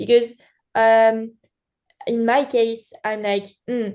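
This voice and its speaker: Over a quiet background, a woman with a French accent speaks at a fairly high pitch with monotone, flat intonation. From France. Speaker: beginning live wedding painter. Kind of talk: casual group chat. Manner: halting, many fillers.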